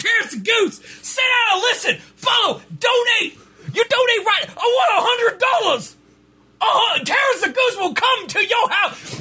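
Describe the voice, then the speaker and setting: Shouting in a put-on character voice, a man hits an extremely high pitch at a fairly slow pace with long, frequent pauses. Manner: bossy, demanding.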